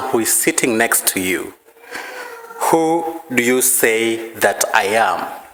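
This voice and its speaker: A man with a Kenyan accent, medium in pitch with ordinary pitch variation, at a very slow pace amid audible room echo. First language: Maragoli. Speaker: preacher. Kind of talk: sermon.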